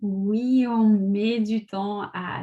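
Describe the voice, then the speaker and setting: Somewhat breathy, a woman speaks at medium pitch in a dark, mellow tone. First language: Russian (speaking French). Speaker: personal development coach. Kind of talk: live video talk.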